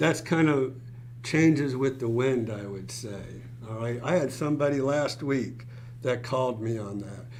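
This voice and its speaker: A man with an American accent speaks at a moderate pace and medium pitch, with ordinary pitch variation and big swings in loudness. Audible room echo and noticeable background noise surround him. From South Florida, Fort Lauderdale. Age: 60s. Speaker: real estate broker. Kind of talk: live stream Q&A chat. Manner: casual, filler-heavy.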